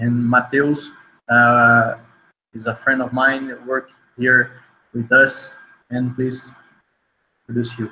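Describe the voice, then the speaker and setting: Very slowly and with long, frequent pauses, a man speaks in a Brazilian accent with monotone, flat intonation. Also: medium pitch for a man. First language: Portuguese. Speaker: UX consultancy co-founder. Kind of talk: online festival talk. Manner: halting, many fillers.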